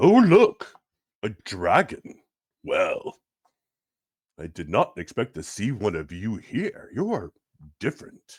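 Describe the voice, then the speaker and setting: A man talks in a put-on character voice at a fairly slow pace. Long pauses come often. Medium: actual play. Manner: curious, cheerful.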